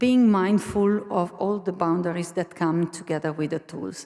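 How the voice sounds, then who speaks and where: This woman speaks with an Italian accent at a fairly low pitch. Her tone is dark and mellow. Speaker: university learning innovation staff, conference speaker. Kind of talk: conference presentation. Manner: halting.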